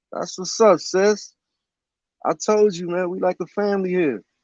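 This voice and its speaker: This man's pitch sits high and his intonation stays fairly even. He speaks at a fairly slow pace. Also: long, frequent pauses, big swings in loudness. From Central New Jersey. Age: 40s. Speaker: livestream host. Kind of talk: casual chat.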